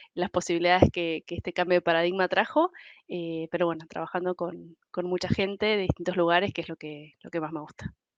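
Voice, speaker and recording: A woman with an Argentine accent talks at a fairly quick pace and fairly low pitch in a monotone, flat intonation. The background is quiet and the sound is dry and close, with no echo. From Argentina. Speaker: human resources professional. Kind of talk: podcast interview. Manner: hesitant, many fillers.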